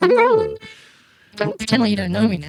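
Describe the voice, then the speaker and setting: A female-sounding put-on character voice at a very fast pace. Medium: comedy sketch. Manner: calm, deadpan.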